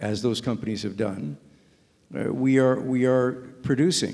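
Speaking at a moderate pace, a man lets his pitch rise and fall in an ordinary way. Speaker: panelist. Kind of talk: panel discussion answer. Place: hall. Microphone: handheld.

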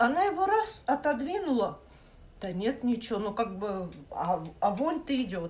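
A high-pitched woman's voice with very wide pitch swings, fairly slow pace and light background noise. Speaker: vlogger. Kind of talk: casual vlog chat, storytelling. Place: kitchen. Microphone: phone near.

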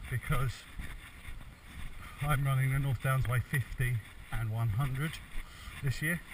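Noticeable background noise surrounds a man whose voice is somewhat breathy, with fairly even intonation. He speaks at a moderate pace, and the sound is dry with no echo. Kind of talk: casual vlog chat. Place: forest. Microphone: phone near.

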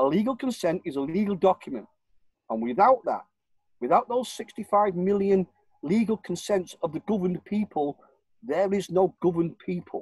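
With a northern English accent, a man speaks at a moderate pace with a high pitch and lively intonation. The background is quiet, and the sound is dry with no echo. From northern England, Warrington. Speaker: self-styled legal campaigner. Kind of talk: interview. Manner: rambling, repetitive. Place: home room. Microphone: video call.

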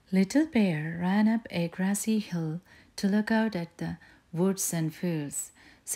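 The reading voice is unforced. Its pitch shifts in an ordinary way.

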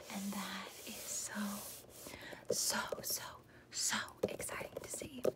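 A woman whispers at a very slow pace. Her speech breaks often into long pauses. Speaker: ASMR creator. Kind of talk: ASMR video. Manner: soft-spoken. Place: home room. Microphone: phone near.

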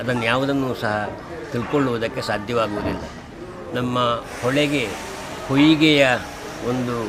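A man speaks at a medium pitch with fairly even intonation, with noticeable background noise and audible room echo. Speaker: retired college principal, devotee. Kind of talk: news interview statement.

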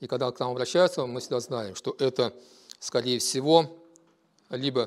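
The man's medium-pitched voice runs at a fairly quick pace. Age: 50s. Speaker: business owner. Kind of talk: self-presentation. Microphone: lapel.

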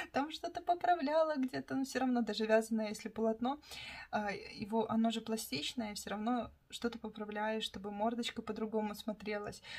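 At a moderate pace, a woman speaks in a fairly high, somewhat breathy voice with lively intonation. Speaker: craft vlogger, toy knitter. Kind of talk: casual vlog monologue.

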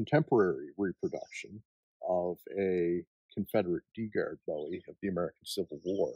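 A Maritime Canadian accent at a moderate pace, big swings in loudness, a quiet background and a dry sound with no echo. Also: man. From Nova Scotia. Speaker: knife smith. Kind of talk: casual interview. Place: forest. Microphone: lapel.

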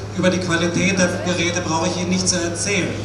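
Noticeable background noise surrounds a man's voice. Room echo is audible too. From Switzerland. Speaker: opera house sound engineer, customer. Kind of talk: protest speech, solidarity address. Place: street. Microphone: pa.

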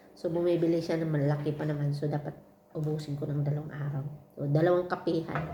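With audible room echo, a woman talks very fast in a very deep, low pitch with monotone, flat intonation. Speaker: domestic helper vlogger. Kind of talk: casual vlog chat.

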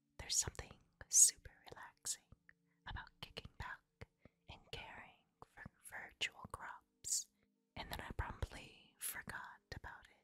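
Whispering at a fairly slow pace, a woman's voice shows big swings in loudness. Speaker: game reviewer. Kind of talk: whispered ASMR game review. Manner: whispered, soft.

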